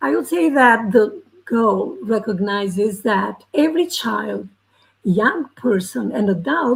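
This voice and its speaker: A woman speaks with a fairly high pitch and very wide pitch swings. Vocal fry runs through her voice. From Albania. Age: 70s. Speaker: educator and teacher trainer. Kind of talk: panel discussion talk. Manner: halting, many fillers.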